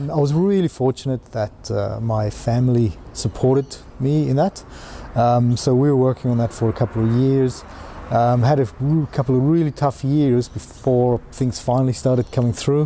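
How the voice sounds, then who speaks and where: A man with a South African accent speaks at a moderate pace and medium pitch, with ordinary pitch variation and very even loudness, over noticeable background noise. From South Africa, mining towns. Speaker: entrepreneur. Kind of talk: personal story interview. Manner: hesitant, many fillers.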